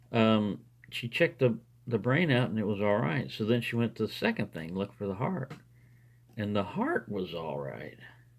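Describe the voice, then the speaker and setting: A man's fairly low voice shows vocal fry. His intonation is lively. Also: moderate pace. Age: 60s. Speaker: lockpicking hobbyist video maker. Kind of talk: casual monologue while lockpicking. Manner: conversational with fillers and hesitations.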